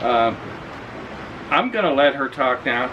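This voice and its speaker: A man talks at a fairly slow pace in an American accent. Audible room echo and noticeable background noise surround him. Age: 60s. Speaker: expat vlogger. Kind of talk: casual chat. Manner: halting.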